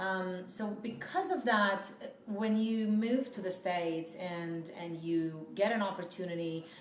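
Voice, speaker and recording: A woman with a Romanian accent, fairly slow pace, medium pitch and ordinary pitch variation, amid noticeable background noise and audible room echo. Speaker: PR firm CEO. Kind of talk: interview. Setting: office.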